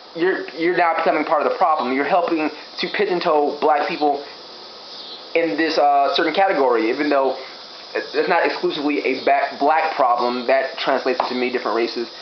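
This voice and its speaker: A man with an American accent speaks fairly quickly at a fairly high pitch, with ordinary pitch variation. Audible room echo and noticeable background noise surround him. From Gary, Indiana, US Midwest. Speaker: vlogger. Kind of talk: opinion vlog.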